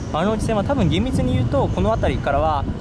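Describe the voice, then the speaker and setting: The man's fairly quick speech sounds dry with no echo, set against loud background noise. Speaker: railway video creator. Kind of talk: explanatory commentary while filming. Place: street. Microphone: phone near.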